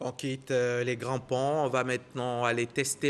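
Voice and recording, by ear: A man talks at a medium pitch with a fairly bright tone.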